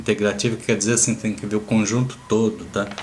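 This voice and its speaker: A man with a Brazilian accent and a fairly low pitch, over noticeable background noise. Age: 60s. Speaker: natural health therapist. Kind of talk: informal health talk. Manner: casual, conversational.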